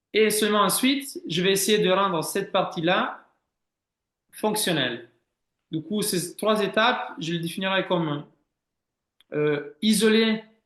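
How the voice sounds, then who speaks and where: A man speaks at a high pitch with lively intonation. His pace is fairly slow, with long, frequent pauses. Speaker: swimming head coach. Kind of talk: interview answer.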